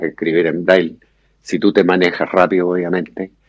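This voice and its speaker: A man speaks with a very deep, low pitch at a fairly slow pace. The sound is dry and close, with no echo. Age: 70s. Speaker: blind musician. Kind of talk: interview.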